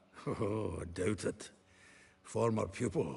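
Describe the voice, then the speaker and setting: Putting on a raspy character voice, a man speaks slowly at a fairly low pitch. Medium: video game. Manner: chatty, laughing.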